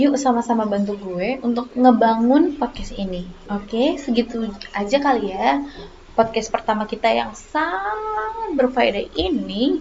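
Over noticeable background noise, a woman speaks at a fairly slow pace. Her pitch is fairly high, with ordinary pitch variation. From Batam, Riau Islands, Indonesia. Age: 20s. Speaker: podcast host, university student. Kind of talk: casual solo podcast talk.

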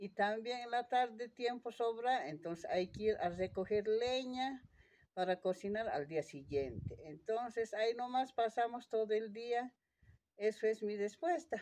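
A woman talks fairly slowly in a dark, mellow tone, fairly high-pitched with lively intonation. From Bolivia, Puna (Potosí highlands). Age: 50s. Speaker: farmer. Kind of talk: interview. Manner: halting.

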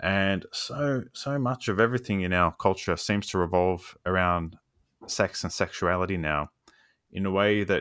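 With an Australian accent, a man speaks at a fairly slow pace and a very deep, low pitch, his pitch varying in an ordinary way over a silent background on a very clean recording. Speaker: podcast host and academic. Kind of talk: interview.

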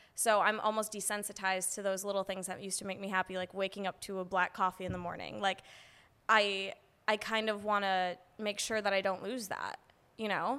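This woman talks fairly quickly in an American accent, at a medium pitch. Her tone is bright and sharp, and her intonation stays monotone and flat. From Midwest US, Madison, Wisconsin. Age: 20s. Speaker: data analyst and podcast host. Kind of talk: casual chat.

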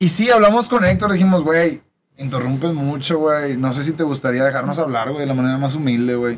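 With a plain, everyday voice, a man talks at a fairly quick pace, his pitch fairly high and his intonation lively. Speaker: podcast host. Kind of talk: casual chat.

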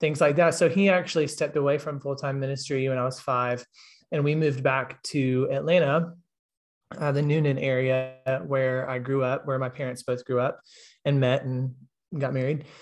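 In a Southern US accent, a man talks at a moderate pace with a fairly high pitch and flat, monotone intonation. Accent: Southern US (Georgia). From US South, Georgia. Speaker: gap year program director. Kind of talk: casual interview. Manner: halting, many fillers.

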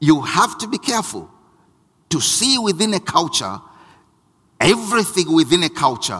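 A man's high, bright, sharp, raised and projected voice, very wide pitch swings, moderate pace. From Southern Africa, Ngoni heritage. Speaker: pastor. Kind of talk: sermon. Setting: church.

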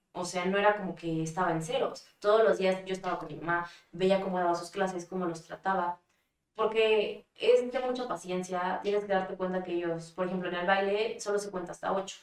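This is an ordinary speaking voice at a fairly quick pace. The intonation stays fairly even. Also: woman, medium pitch for a woman. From Mexico. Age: 20s. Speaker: dancer and model. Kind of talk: casual interview.

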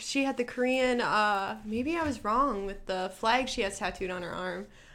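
A woman with an American accent has a plain, everyday voice, speaking at a moderate pace with lively intonation. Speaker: podcast host. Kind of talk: casual chat.

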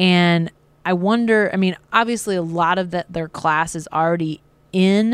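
On a very clean recording with a silent background, a woman speaks in a normal speaking voice at a fairly low pitch with fairly even intonation. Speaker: sports beat writer. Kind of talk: post-game sports analysis chat.

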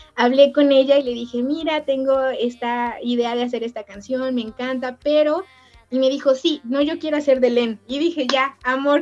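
Her pitch high and her intonation fairly even, the woman speaks with a Mexican accent. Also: moderate pace. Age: 30s. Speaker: fandubber and voice-over artist. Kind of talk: casual chat.

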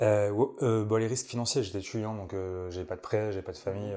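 The man talks at a fairly quick pace with a fairly low pitch. His intonation stays fairly even. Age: 20s. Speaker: startup executive, former founder. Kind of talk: interview. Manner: casual, hesitant with fillers.

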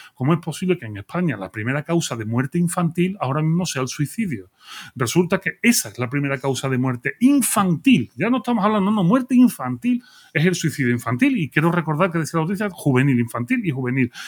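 A man at a fairly high pitch, very wide pitch swings, a very fast pace, dry, close sound with no echo, and a very clean recording over a silent background. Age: 40s. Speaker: philosopher. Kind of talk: casual chat.

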